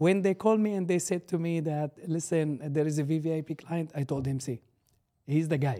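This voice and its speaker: With an Arabic accent, the speaker has a dark, mellow tone and ordinary pitch variation at a fairly quick pace. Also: man, fairly high pitch for a man. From Syria. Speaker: barber and business owner. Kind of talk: casual interview. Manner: halting.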